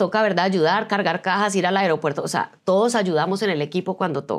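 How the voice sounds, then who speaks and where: The background is quiet as a woman speaks. Her pace is fairly quick and her pitch varies in an ordinary way. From Colombia, Medellín. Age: 50s. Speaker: business coach and speaker; business coach, speaker. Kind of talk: interview. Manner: animated. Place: studio. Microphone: lapel.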